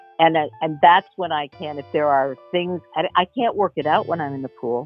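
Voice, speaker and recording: Music plays in the background as a woman talks with a very deep, low pitch. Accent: American. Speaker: voice actor. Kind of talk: interview answer.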